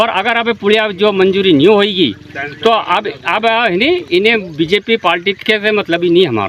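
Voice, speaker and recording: Noticeable background noise runs through the clip. The speech shows ordinary pitch variation. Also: man. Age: 60s. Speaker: villager. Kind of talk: street interview.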